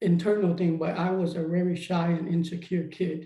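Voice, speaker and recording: A dark, mellow tone comes through at a moderate pace, with audible room echo. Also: man. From Vietnam, moved to US at nine. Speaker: formerly incarcerated mentor. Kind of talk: personal testimony. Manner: halting.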